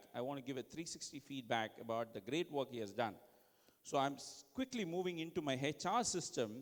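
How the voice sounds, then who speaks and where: Speaking at a moderate pace, a man with an Indian accent uses lively intonation. His pitch rises and falls freely as he goes. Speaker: conference speaker giving tech demo. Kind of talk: live product demo presentation.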